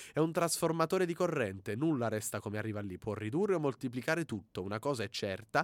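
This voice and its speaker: In a very clean recording with a silent background and a dry, close sound free of echo, a man of medium pitch races along at a very fast pace with very wide pitch swings. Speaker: student radio host. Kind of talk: reading prepared humorous reviews.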